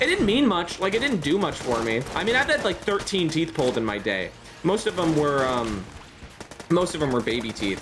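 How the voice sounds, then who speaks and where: At a fairly quick pace, the speaker talks through noticeable background noise. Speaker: gaming streamer. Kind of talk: live gameplay stream chat. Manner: loud; talkative, rambling with many restarts.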